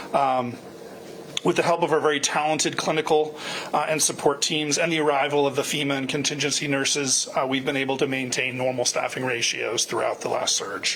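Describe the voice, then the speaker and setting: A man talks at a fairly quick pace and a fairly high pitch with fairly even intonation, with audible room echo and noticeable background noise. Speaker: hospital medical director. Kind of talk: town hall address. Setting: virtual town hall. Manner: loud.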